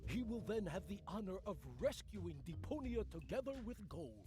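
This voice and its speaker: A man uses a put-on character voice at a moderate pace. Loud background noise sits behind him. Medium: video game.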